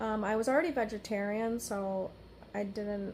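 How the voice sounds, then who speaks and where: A woman's fairly high, flat, monotone voice with an American accent. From US East Coast. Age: 30s. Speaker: energy healer. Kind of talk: personal monologue. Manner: halting.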